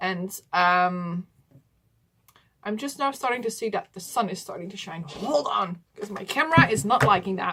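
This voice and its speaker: A woman with a Dutch accent speaks at a moderate pace and medium pitch. Her tone is bright and sharp, with lively intonation. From Netherlands. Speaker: doll collector YouTuber. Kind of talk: casual vlog talk to camera. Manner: hesitant, many fillers.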